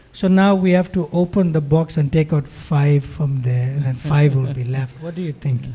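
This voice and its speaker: Hardly any pauses break this somewhat breathy voice, which has a dark, mellow tone and ordinary pitch variation. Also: man, moderate pace. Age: 60s. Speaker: monk and spiritual teacher. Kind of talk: religious talk with audience interaction.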